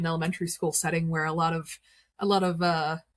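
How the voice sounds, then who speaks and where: A woman speaks in a somewhat breathy voice, recorded with a dry, close sound and no echo. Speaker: podcast host. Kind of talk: casual chat.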